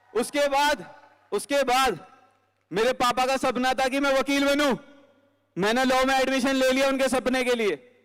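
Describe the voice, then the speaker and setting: With fairly even intonation, a man speaks at an extremely high pitch. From Delhi, India. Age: 20s. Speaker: network marketing speaker. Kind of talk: motivational stage talk. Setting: stage with audience.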